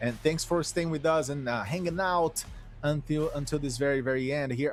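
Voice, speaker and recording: With music in the background, a man with a Portuguese accent speaks at a moderate pace, his fairly high pitch paired with fairly even intonation. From Brazil. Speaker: esports commentator. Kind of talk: live commentary.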